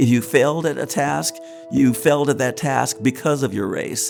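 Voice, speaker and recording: A man at a medium pitch talks with ordinary pitch variation while music plays in the background. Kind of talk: interview answer.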